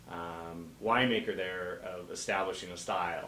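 Over light background noise and audible room echo, a man with a very deep, low pitch talks at a moderate pace with fairly even intonation. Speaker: guest. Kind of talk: interview answer. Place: shop.

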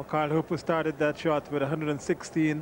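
Over light background noise, a man speaks in a monotone, flat intonation, the sound dry with no echo. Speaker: cricket commentator. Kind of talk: live cricket commentary.

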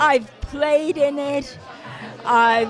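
The speaker talks at a very slow pace with ordinary pitch variation over light background noise. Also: woman. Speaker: stage actress; actress. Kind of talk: birthday greeting. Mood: warm, fond, smiling. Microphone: handheld.

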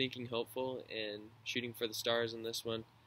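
With an American accent, a man speaks in a bright, sharp tone with monotone, flat intonation over light background noise. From Washington state, near Tacoma; Washington state. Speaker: university student. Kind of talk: class introduction video. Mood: relaxed, friendly. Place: garden. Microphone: webcam.

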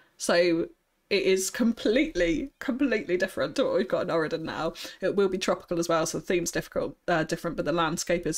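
A woman speaks fast at a fairly low pitch, with ordinary pitch variation.

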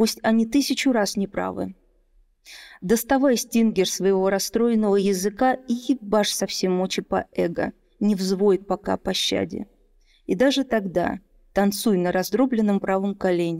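A woman's fairly slow speech with ordinary pitch variation and long, frequent pauses over a quiet background. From Russia, Moscow. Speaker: poet and lawyer. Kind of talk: interview. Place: studio. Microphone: studio mic.

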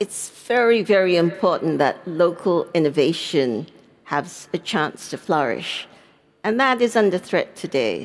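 A woman with a fairly low pitch and very wide pitch swings. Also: fairly slow pace. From Singapore. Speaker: internet policy advocate; speaker. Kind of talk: panel discussion. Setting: stage with audience. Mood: earnest, warm. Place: stage. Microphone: headset.

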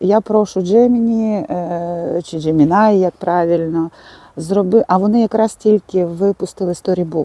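The woman uses a normal speaking voice at a medium pitch, talking at a fairly slow pace with ordinary pitch variation in a dry, close sound with no echo. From Ivano-Frankivsk, western Ukraine. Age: 60s. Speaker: blogger and digital mentor for seniors; retired mathematics teacher. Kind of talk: interview answer. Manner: casual, conversational.

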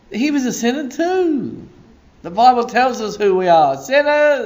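A man talks fairly slowly with an Australian accent. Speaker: pastor. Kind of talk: sermon. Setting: church. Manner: animated; preacherly, rousing, call-and-response.

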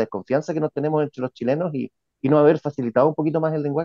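Against a quiet background, the speech comes at a very fast pace with ordinary pitch variation and a dry sound with no echo. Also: man. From Chile. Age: 50s. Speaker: journalist and show host; journalist, show host. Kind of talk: political interview. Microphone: earbuds.

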